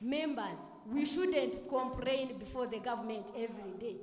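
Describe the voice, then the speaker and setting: A woman speaks at a fairly slow pace with fairly high pitch. Her pitch varies in an ordinary way, and audible room echo surrounds her voice. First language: Rukiga or Runyankole. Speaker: youth parliament member. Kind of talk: parliamentary debate speech.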